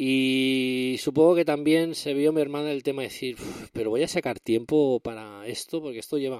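Heard on a very clean recording with a silent background, a man speaks at a moderate pace and medium pitch. He has a plain, everyday voice. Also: fairly even intonation. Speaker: tech podcast host. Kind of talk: casual solo podcast monologue.

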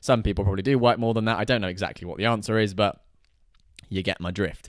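Speaking very fast, a man has a British accent. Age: 20s. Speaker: lifestyle and money vlogger. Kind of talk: casual solo monologue. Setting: in a house.

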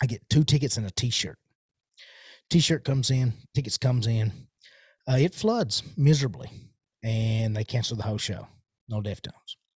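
A man speaks at a moderate pace in a somewhat breathy voice, with long, frequent pauses. The sound is dry and close, with no echo. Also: medium pitch for a man, ordinary pitch variation. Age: 30s. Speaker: podcast host. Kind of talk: casual monologue. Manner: many fillers and hesitations; casual, rambling.

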